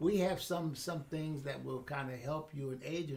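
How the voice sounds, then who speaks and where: Noticeable background noise fills the clip. Over it, a man speaks at a moderate pace. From Pittsburgh. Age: 80s+. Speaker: educator and mentor. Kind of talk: interview answer.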